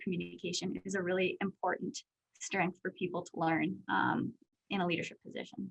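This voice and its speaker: A woman with a Canadian accent and vocal fry talks at a moderate pace in a dry, close sound with no echo. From Saskatchewan, Canada. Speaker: business executive. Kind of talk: Q&A interview. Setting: video call.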